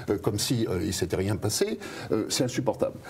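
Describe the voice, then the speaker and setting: Over noticeable background noise, a man speaks with a fairly low pitch and lively intonation. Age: 60s. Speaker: pharmacist and author, whistleblower. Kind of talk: interview. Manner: hesitant, many fillers and repetitions.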